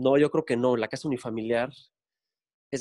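At a fairly quick pace, a man with an unremarkable speaking voice talks at a medium pitch in a dry, close sound with no echo. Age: 40s. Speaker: architect. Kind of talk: interview. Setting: video call.

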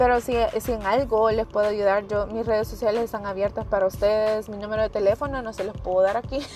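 Speaking at a very fast pace with hardly any pauses, the voice stays monotone and flat while music plays in the background. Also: woman, fairly high pitch for a woman. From El Salvador. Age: 20s. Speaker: podcast host, young mother. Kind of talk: solo podcast monologue.

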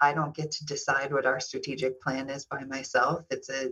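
Moderate-paced speech from a woman with an American accent. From US Midwest, Kansas City. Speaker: hospital executive. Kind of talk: casual chat.

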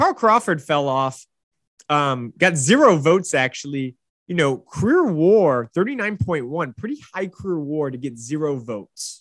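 A man with a normal speaking voice talks at a moderate pace in a fairly high pitch with lively intonation. The recording is very clean with a silent background. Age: 30s. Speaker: sports podcast host. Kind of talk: solo sports commentary podcast.

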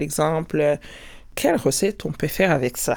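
A woman's very deep, low voice with ordinary pitch variation, on a very clean recording with a silent background. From Rwanda. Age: 50s. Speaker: scientific professional and entrepreneur. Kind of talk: personal testimony.

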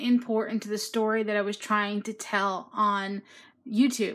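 A woman speaks at a fairly slow pace in a bright, sharp tone. The recording is very clean, with a silent background. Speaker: caller. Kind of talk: casual chat.

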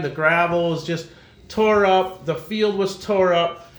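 Audible room echo surrounds a man whose high voice moves at a fairly slow pace with fairly even intonation. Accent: Wisconsin. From De Pere, Wisconsin. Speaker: racing club president and former race driver. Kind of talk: casual interview.

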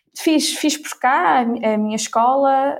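High pitch from a woman, the pitch varying in an ordinary way. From Ílhavo, Aveiro region, northern Portugal. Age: 20s. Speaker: corporate innovation professional. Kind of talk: interview.

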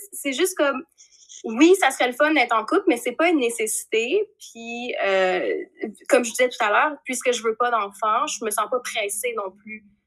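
Speaking at a moderate pace in a Quebec accent, a woman uses a high pitch and lively intonation. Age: 30s. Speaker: podcast guest. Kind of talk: casual chat. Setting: video call.

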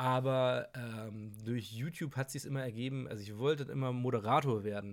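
A man with a plain, everyday voice, medium pitch, moderate pace, fairly even intonation and hardly any pauses, in a very clean recording with a silent background. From Hamburg, northern Germany. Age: 20s. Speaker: dancer and presenter. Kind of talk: casual chat.

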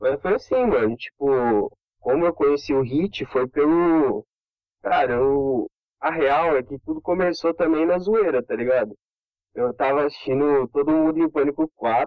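At a fairly slow pace, a man with a fairly high pitch speaks in an energetic tone with ordinary pitch variation, the sound dry and close with no echo. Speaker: social media meme page creator. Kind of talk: casual chat. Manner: slangy, energetic.

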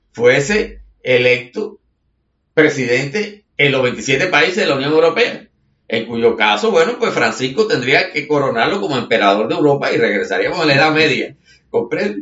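At a moderate pace, a man with a fairly high voice speaks with very wide pitch swings. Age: 60s. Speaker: writer and commentator. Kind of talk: conversational monologue. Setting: home studio.

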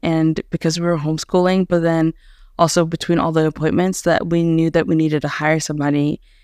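This woman talks at a fairly quick pace with an American accent and a fairly low pitch. Her loudness stays very even, and her intonation is monotone and flat. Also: dry, close sound with no echo. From US, Haitian American family. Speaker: podcast host, homeschooling parent. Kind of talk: casual chat.

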